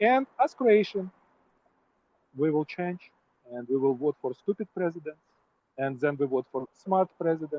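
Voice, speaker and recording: A man with a fairly high pitch and a dark, mellow tone speaks at a fairly slow pace with lively intonation. Long, frequent pauses break up his speech, and the sound is dry and close with no echo. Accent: Ukrainian. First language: not English. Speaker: participant in online voice chat. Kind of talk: heated debate. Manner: halting.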